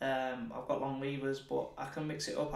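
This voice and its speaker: A man with a Yorkshire accent at a moderate pace, fairly even in intonation, with audible room echo. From northern England, Leeds; northern England. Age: 30s. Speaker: professional boxer; guest. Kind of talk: casual chat. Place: studio.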